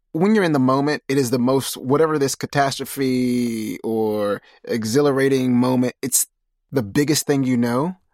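A plain, everyday voice with ordinary pitch variation, on a very clean recording with a silent background. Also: man, medium pitch for a man, moderate pace, dry, close sound with no echo. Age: 30s. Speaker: podcast host. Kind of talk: interview.

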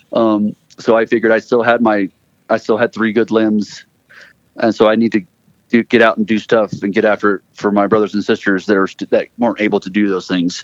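The sound is dry and close, with no echo. A man speaks at a fairly quick pace in a fairly low, flat monotone. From Florida (Gainesville), born in Texas. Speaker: military veteran and Paralympian. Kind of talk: interview.

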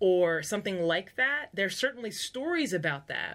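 In an American accent, a woman talks at a moderate pace in an animated, bright, sharp tone on a very clean recording with a silent background. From United States. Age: 40s. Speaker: podcast host, culture coach. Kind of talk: solo podcast talk, teaching. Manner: animated, conversational.

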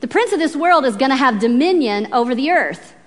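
A woman's high-pitched, lively voice with an American accent, against noticeable background noise. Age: 40s. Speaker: Bible teacher. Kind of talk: sermon. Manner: animated.

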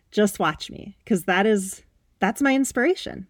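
Animated in tone, a woman speaks at a moderate pace with ordinary pitch variation in a very clean, silent recording that sounds dry and close with no echo. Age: 30s. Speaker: personal trainer and health coach podcast host. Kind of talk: motivational solo podcast talk.

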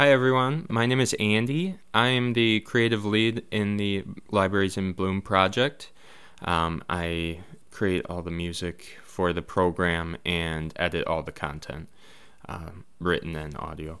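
With an Upper Midwest accent, a man talks at a very deep, low pitch and a fairly slow pace. His intonation is lively, on a very clean recording with a silent background. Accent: Upper Midwest American. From Wisconsin (Neenah). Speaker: podcast producer and musician. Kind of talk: casual self-introduction. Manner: halting, many fillers.

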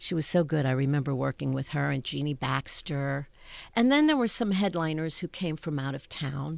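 A woman with an American accent speaks at a very deep, low pitch, on a very clean recording against a silent background. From Pittsburgh, Pennsylvania. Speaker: Broadway performer. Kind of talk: interview. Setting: studio.

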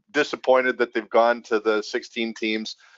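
Moderate pace and medium pitch from a man, in a plain, everyday voice. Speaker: podcast host. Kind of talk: podcast interview. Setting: video call.

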